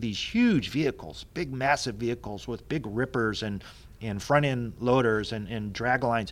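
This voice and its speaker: This is a man with a medium-pitched voice. It is an ordinary speaking voice. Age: 50s. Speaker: planetary scientist. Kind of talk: casual chat.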